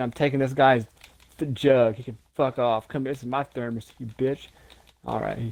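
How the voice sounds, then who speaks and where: A man with an American accent is heard. His pitch is medium and his pace is moderate. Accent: slight Southern-sounding. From Ohio, US. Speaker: podcast co-host. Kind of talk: casual chat. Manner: animated.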